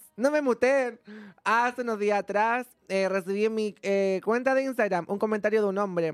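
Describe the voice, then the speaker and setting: Music plays behind a woman speaking in a Chilean accent, her pitch fairly high with ordinary variation. Her tone is animated and her pace moderate. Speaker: content creator. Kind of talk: casual chat.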